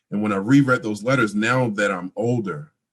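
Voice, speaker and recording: An unremarkable speaking voice from a man at a fairly quick pace, with ordinary pitch variation and a quiet background. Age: 20s. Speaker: interviewee sharing family story. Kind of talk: personal testimony in interview.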